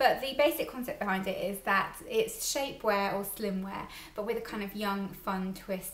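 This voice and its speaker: A fairly quick-talking woman amid audible room echo. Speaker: style vlogger. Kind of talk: casual product review chat. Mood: chatty, amused.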